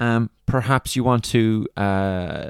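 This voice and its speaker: In an Irish accent, a man speaks with ordinary pitch variation, the sound dry and close with no echo on a very clean recording with a silent background. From Ireland. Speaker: podiatrist and business mentor. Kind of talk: solo podcast monologue, tutorial. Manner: informal, filler words, explanatory.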